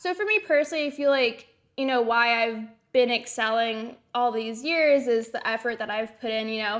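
Delivered at a moderate tempo, a plain, everyday voice carries ordinary variation in pitch. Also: woman, fairly high pitch for a woman. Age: 20s. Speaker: race car driver. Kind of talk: interview.

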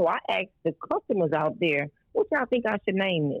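With a Louisiana accent, a woman of medium pitch speaks at a moderate pace and with lively intonation. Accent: Southern US (Louisiana). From rural Louisiana, US South. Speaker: caterer and restaurant owner. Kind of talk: interview.

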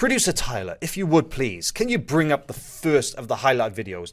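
With a Welsh accent, a man talks at a moderate pace in a fairly high pitch that swings very widely, with vocal fry, on a very clean recording with a silent background. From Wales. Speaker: grappling news show host. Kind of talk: news and results show with commentary. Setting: studio.

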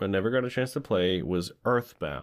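A man with a plain, everyday voice talks at a moderate pace in a medium pitch. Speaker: podcast host. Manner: joking, playful.

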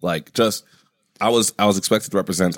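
The recording sounds dry and close, without any echo. A man does the talking. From New York (Bronx, Yonkers), later McAllen, Texas. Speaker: comedian. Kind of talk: casual chat.

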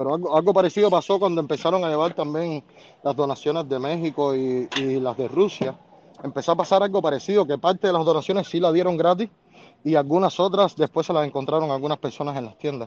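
At a very fast pace, a man with a fairly high voice speaks with ordinary pitch variation. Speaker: caller. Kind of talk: casual chat.

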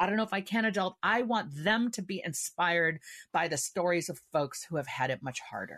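This woman has an unremarkable speaking voice, talking at a moderate pace with lively intonation. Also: quiet background. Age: 50s. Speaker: author. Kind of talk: interview.

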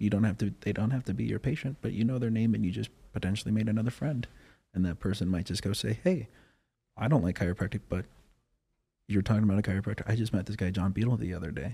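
Very fast and with vocal fry, a man with an American accent speaks in a dark, mellow tone with ordinary pitch variation. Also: fairly low pitch for a man. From Wyoming, US. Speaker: chiropractor. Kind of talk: casual interview chat. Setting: podcast studio. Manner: animated.

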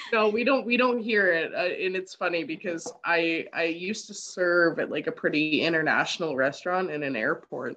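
Against noticeable background noise, a woman with a fairly low pitch talks at a moderate pace with lively intonation and hardly any pauses. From Canada. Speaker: podcast guest. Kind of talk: casual chat.

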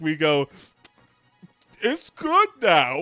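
With music in the background, a strained, put-on character voice speaks at a middle pitch. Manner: through gritted teeth, strained.

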